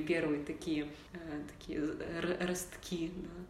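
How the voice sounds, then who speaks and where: With noticeable background noise and audible room echo, a woman speaks in a monotone, flat way at a fairly low pitch. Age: 30s. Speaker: choir director and podcast co-host. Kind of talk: casual chat.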